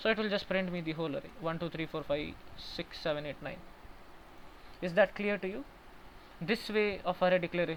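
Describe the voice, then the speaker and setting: The speech moves at a fairly quick pace yet breaks into long, frequent pauses. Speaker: programming tutor. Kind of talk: online coding tutorial. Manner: fast.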